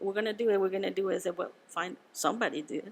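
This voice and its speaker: Her intonation fairly even, a woman speaks at a medium pitch in a Spanish accent. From Venezuela. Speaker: winemaker. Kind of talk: casual interview. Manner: halting, with repetitions.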